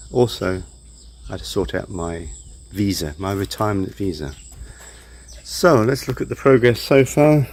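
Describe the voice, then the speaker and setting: Speech in a British accent with lively intonation is broken by long, frequent pauses. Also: man, fairly low pitch for a man, moderate pace. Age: 60s. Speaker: retired DIY vlogger. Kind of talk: casual DIY vlog narration.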